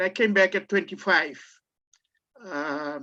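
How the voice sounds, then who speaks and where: A man speaks at a moderate pace in a raised, projected voice. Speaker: law lecturer. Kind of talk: information session talk. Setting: video call. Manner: halting.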